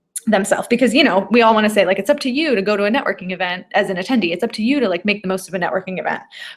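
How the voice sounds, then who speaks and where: Against noticeable background noise, a woman talks at a very fast pace in a medium pitch with hardly any pauses. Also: ordinary pitch variation. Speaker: event and business coach. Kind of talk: live webinar. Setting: live video stream. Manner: animated.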